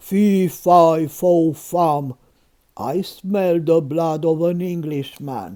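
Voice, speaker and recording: A man uses a put-on character voice, loud and high in pitch. He speaks at a very slow pace. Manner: angry, booming.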